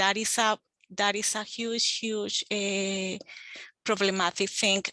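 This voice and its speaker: A speaker with a Spanish accent talks at a very slow pace in a bright, sharp tone with monotone, flat intonation. The background is quiet. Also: woman, medium pitch for a woman. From Colombia, Bogota. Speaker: extension agent. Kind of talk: group discussion in online meeting.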